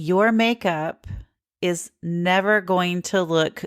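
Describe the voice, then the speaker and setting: In a very clean recording with a silent background, a woman with a slight Southern US accent talks with ordinary pitch variation. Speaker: podcast host. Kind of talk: podcast monologue. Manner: casual, conversational.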